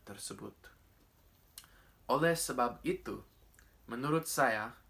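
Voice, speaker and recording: A man's bright, sharp voice in an English accent, with ordinary pitch variation. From Australia (Coffs Harbour, New South Wales). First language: English (speaking Indonesian). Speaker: speech contest winner. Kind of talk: prepared speech. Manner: formal.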